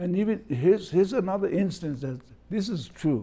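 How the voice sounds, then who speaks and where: A man with a Hawaiian accent speaks in a dark, mellow tone. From Kohala, Hawaii. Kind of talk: oral history interview answer.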